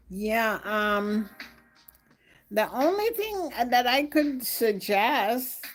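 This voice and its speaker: Over music in the background, a woman with a fairly high pitch and lively intonation speaks very slowly, leaving long, frequent pauses. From Jamaica. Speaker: live streamer. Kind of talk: casual chat. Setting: live stream.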